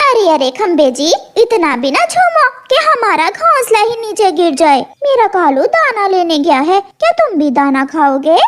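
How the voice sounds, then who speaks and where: In a cartoonish character voice, a woman talks at an extremely high pitch and a moderate pace. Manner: chatty, lively.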